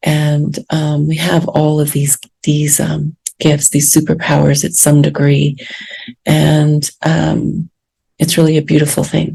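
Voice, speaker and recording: Soft-spoken, a woman talks at a very slow pace. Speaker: podcast host and spiritual teacher. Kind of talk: podcast monologue. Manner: hesitant with fillers.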